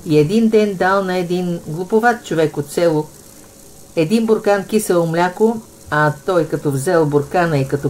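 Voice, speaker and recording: A woman with a northwestern Bulgarian accent talks at a fairly slow pace with ordinary pitch variation. Noticeable background noise runs behind her. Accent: Vratsa dialect. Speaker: cooking channel host. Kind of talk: folk joke telling.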